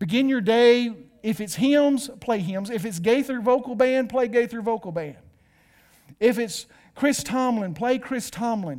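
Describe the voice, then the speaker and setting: This man's voice is extremely high-pitched, and his pitch varies in an ordinary way. He talks fairly slowly with a Southern US accent. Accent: Southern US (Georgia). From US South, north Georgia. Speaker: pastor. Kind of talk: sermon. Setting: church with live and online audience. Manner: animated.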